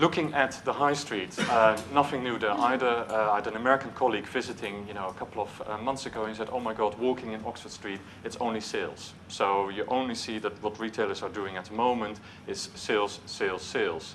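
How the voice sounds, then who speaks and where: Speaking with a Dutch accent and hardly any pauses, a man keeps a fairly even intonation while audible room echo surrounds him. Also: medium pitch for a man, fairly quick pace. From Netherlands. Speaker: marketing executive. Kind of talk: conference talk. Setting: stage with audience. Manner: hesitant, with filler words.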